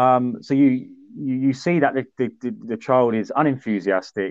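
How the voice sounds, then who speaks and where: With a southern English accent, a man speaks with ordinary pitch variation. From southern England, High Wycombe. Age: 30s. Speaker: sports events organiser and podcast host. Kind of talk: casual chat.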